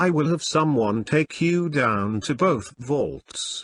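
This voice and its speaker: A man's put-on character voice, fairly high in pitch and at a fairly slow pace. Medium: read story. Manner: formal, businesslike.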